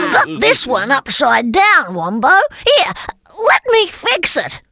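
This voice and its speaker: A cartoonish character voice is pitched high. It moves at a fairly slow pace. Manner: lively, giggly.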